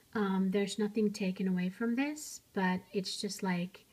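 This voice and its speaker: This woman's voice is somewhat breathy and medium in pitch. She speaks at a fairly slow pace with ordinary pitch variation. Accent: non-native. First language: not English. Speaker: miniature crafts YouTuber. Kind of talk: show-and-tell tutorial. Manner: casual, hesitant with fillers.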